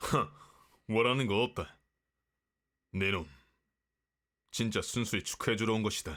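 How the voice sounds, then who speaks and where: In a gruff, put-on character voice, a man talks at a moderate pace and medium pitch with ordinary pitch variation, very even loudness and long, frequent pauses. The recording is very clean, with a silent background. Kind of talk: romance roleplay ASMR. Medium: virtual streamer. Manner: gruff, archaic, blunt.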